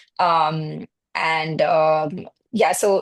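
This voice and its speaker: A woman speaks with an Indian accent. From India (Mumbai). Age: 30s. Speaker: marketing and PR professional, immigrant. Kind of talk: podcast interview. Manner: hesitant, many fillers.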